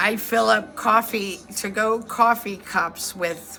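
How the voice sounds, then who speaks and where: Over music in the background, a woman with an American accent speaks in an animated tone with lively intonation. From northeast Ohio, Youngstown area. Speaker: storytelling vlogger. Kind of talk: casual storytelling monologue. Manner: slurred, sounds drunk to some; rambling, animated.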